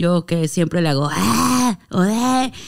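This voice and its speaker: Someone speaks very slowly in a Monterrey accent. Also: woman. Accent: Monterrey (regio). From Mexico, Monterrey; Nuevo León, Mexico. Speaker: singer and performer; podcast guest. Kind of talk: casual chat. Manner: forceful, clipped regio delivery. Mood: relaxed, playful. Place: studio. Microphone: studio mic.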